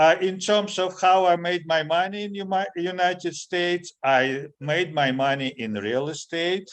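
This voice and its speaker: A man with a high pitch, speaking with hardly any pauses. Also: ordinary pitch variation, fairly slow pace. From Latvia. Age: 60s. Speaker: immigration attorney. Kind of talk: interview conversation.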